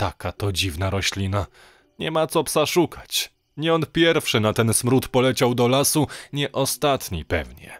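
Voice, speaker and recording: In a very clean recording with a silent background, a man at a medium pitch speaks at a fairly slow pace with very wide pitch swings. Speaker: audiobook narrator. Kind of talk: horror story narration, reading aloud. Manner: gloomy, hushed, conspiratorial storytelling.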